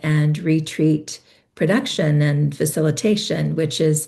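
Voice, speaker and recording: A woman speaks at a very deep, low pitch, somewhat breathy. She keeps a fairly slow pace. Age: 60s. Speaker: spiritual teacher and business consultant. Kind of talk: interview.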